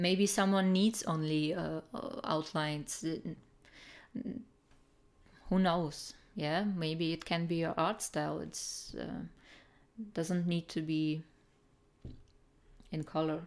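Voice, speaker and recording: A woman with a Russian accent speaks at a very slow pace in a fairly low voice with ordinary pitch variation, leaving long, frequent pauses, on a very clean recording with a silent background. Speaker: artist streamer giving art critiques. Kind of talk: live stream chat, art critique. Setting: live stream. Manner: halting, many fillers.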